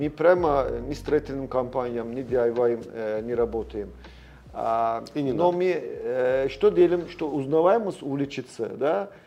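A man speaks with a Turkish accent. His pace is fairly slow. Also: medium pitch for a man, lively intonation. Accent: Turkish accent in Russian. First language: Turkish (speaking Russian). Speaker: sales and marketing director. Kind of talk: interview. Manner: halting.

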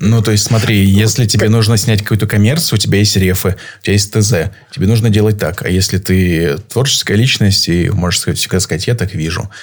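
Somewhat breathy and fairly low in pitch, a man speaks at a fairly quick pace with ordinary pitch variation. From Saint Petersburg, Russia. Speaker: photographer. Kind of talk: casual interview. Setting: live stream.

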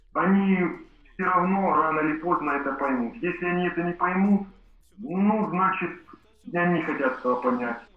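Amid audible room echo, a man with a high pitch speaks with long, frequent pauses. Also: ordinary pitch variation, moderate pace. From Kuban, southern Russia. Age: 30s. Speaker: farmer. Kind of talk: interview testimony.

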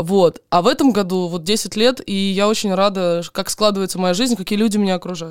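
A woman speaks in a plain, everyday voice at a medium pitch with ordinary pitch variation. Her pace is moderate, with hardly any pauses. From Donetsk region, Ukraine. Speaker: guest, blogger.

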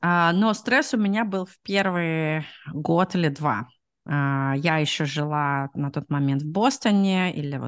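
Fairly low-pitched woman's speech with lively intonation over a quiet background. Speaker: product manager, immigrant. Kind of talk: interview. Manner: hesitant, many fillers.

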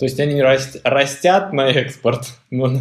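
This man's voice sits at medium pitch and sounds somewhat breathy. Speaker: podcast co-host. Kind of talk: casual chat.

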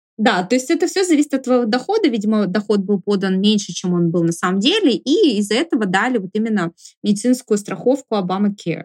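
A woman's fairly high voice at a very fast pace with very even loudness. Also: lively intonation. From Sverdlovsk region, Russia (Urals). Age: 30s. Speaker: camera assistant and blogger. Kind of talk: interview.

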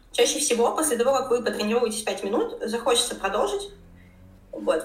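A woman with a fairly high pitch speaks at a very fast pace amid noticeable background noise and audible room echo. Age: 20s. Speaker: fitness trainer and blogger. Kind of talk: interview.

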